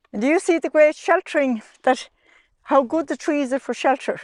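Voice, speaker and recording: On a very clean recording with a silent background, a woman's voice sounds dry and close, with no echo. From Ireland. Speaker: sheep farmer. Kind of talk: interview answer. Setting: outdoors.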